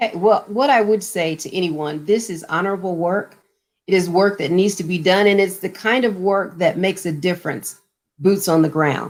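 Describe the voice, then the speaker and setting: A woman talks at a moderate pace and a medium pitch with ordinary pitch variation. It is an ordinary speaking voice. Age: 60s. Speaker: mayor. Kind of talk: panel interview.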